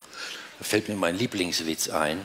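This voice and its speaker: Light background noise is audible. Over it, a man talks. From Romania. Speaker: cabaret artist. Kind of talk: cabaret stage performance. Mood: dry, deadpan irony. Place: stage. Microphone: headset.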